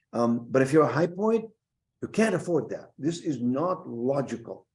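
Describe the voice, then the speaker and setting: A man's dark, mellow tone carries lively intonation at a moderate pace. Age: 70s. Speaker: university president. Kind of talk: interview. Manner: animated.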